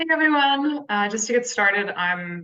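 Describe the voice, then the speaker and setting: A woman with an American accent and a normal speaking voice talks at a fairly quick pace with ordinary pitch variation. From USA. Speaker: conservation communications manager. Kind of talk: pre-recorded presentation.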